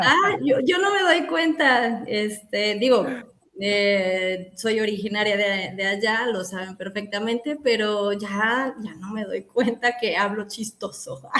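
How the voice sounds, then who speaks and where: Very slow in pace, a woman talks at a fairly high pitch with ordinary pitch variation. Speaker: psychologist. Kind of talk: casual interview chat.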